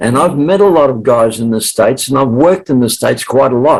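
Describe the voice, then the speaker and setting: A man with an Australian accent at medium pitch and a moderate pace. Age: 70s. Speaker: sales trainer and author. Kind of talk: interview.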